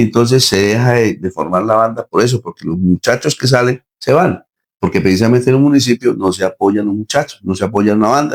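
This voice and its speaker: At a fairly quick pace, a man speaks in a normal speaking voice, medium in pitch with ordinary pitch variation, recorded dry and close with no echo. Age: 60s. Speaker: band musician and director. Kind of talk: interview.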